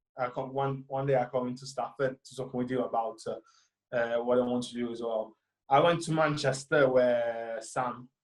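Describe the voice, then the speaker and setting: A man with an Italian accent speaks at a medium pitch and a moderate pace. His intonation is monotone and flat. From Italy, near Florence. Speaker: film student. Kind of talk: interview. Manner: halting, many fillers.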